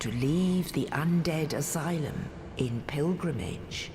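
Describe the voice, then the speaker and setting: A woman's put-on character voice, very deep and low in pitch, solemn in tone at a fairly slow pace, under loud background noise. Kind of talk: epic fantasy prophecy narration. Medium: video game. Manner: slow, solemn.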